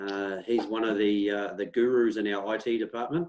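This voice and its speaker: Speaking with a New Zealand accent, a man uses a fairly low pitch with ordinary pitch variation. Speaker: local councillor and webinar host. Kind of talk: webinar hosting. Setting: video call.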